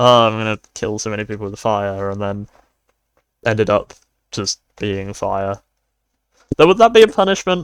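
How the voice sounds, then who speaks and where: A man with a British accent speaks at a moderate pace and fairly low pitch, with long, frequent pauses and big swings in loudness. The sound is dry and close with no echo. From United Kingdom. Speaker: art and worldbuilding video creator. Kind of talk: casual narration while drawing. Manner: monotone; rambling with false starts.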